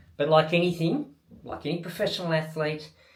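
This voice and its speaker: Audible room echo surrounds a man with an Australian accent who speaks at a moderate pace. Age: 60s. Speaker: triathlon coach and athlete. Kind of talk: video diary talk to camera. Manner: casual.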